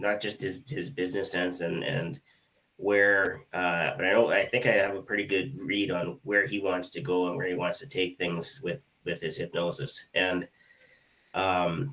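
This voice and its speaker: A man's fairly low voice in a Canadian accent, bright and sharp in tone, at a fairly slow pace with ordinary pitch variation. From Canada. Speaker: hypnotist, co-host. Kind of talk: live online show discussion.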